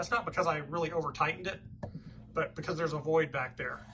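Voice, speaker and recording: Mumbling at a very fast pace, a man with a high pitch speaks with ordinary pitch variation. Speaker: hobbyist woodworker and motorcycle vlogger. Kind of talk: casual vlog. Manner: halting, stuttering.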